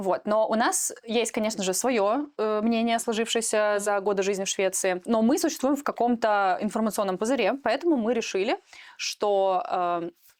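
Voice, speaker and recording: With very even loudness, a woman talks at a moderate pace, her fairly high pitch carrying lively intonation. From Russia, Moscow region (Protvino). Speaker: podcast co-host, programmer. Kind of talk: casual podcast chat. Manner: hesitant, many filler sounds.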